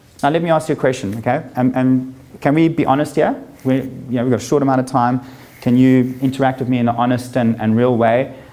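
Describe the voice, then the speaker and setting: With noticeable background noise, a man with a medium pitch talks very fast at a very even loudness. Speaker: life coach / speaker. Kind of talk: motivational talk to live audience. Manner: animated.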